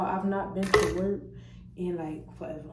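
A woman speaks at a fairly quick pace with fairly even intonation. Noticeable background noise runs underneath. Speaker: vlogger. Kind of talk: casual vlog chat. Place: bathroom. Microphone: phone near.

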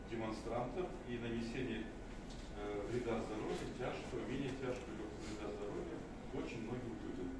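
Loud background noise and audible room echo accompany speech at a moderate pace. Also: man. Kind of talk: final statement in court. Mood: serious, measured, indignant. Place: hall. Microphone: camera far.

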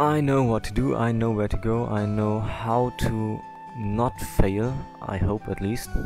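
Clear music plays in the background. The voice itself sounds dry, with no echo. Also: fairly slow pace. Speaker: let's play gamer. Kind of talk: casual gameplay commentary.

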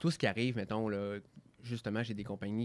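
Here a man speaks with a Quebec accent. His pitch is fairly low. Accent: Québécois French. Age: 30s. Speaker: entrepreneur; guest. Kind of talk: radio interview; interview answer. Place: studio. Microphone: studio mic.

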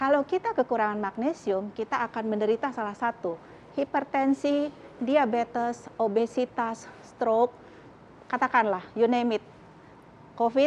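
A woman talks at a fairly slow pace with ordinary pitch variation. There is light background noise. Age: 50s. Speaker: doctor; TV guest. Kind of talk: talk show interview. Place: studio.

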